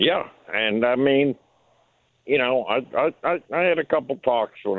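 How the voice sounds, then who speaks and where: The speaker is a man with a Southern US accent. His intonation is lively. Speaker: caller. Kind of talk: casual chat. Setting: phone call.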